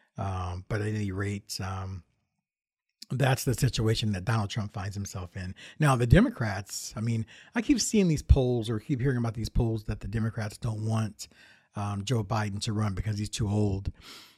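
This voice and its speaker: In a very clean recording with a silent background, a man speaks somewhat breathily at a fairly low pitch with fairly even intonation. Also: moderate pace. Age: 50s. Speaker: podcast host and YouTube tech reviewer. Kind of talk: solo casual monologue. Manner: halting, many fillers and restarts.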